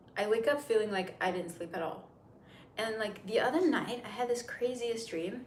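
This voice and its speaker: With an American accent, a woman's fairly high voice rises and falls in lively intonation, amid audible room echo and noticeable background noise. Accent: sounds American. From Turkey, Istanbul. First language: Turkish. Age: 30s. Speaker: makeup livestreamer. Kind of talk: casual livestream chat. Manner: chatty, rambling.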